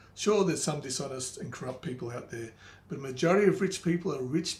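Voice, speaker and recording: Somewhat breathy, the man's voice shows ordinary pitch variation. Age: 50s. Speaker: money and life advice presenter. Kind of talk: advice talk to camera.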